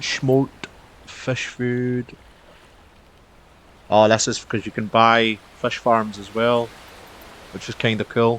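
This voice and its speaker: In a Scottish accent, the speech comes at a very slow pace with long, frequent pauses. The intonation is monotone and flat, with big swings in loudness. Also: man, medium pitch for a man. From Scotland. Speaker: game streamer. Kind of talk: live gameplay commentary. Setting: live stream. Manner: casual, chatty.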